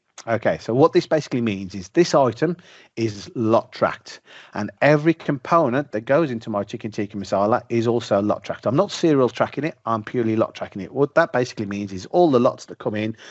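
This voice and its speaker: A man with a British accent talks at a very fast pace. His intonation is lively, and his loudness swings a lot. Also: medium pitch for a man. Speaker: software presenter. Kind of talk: product demo. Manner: informal.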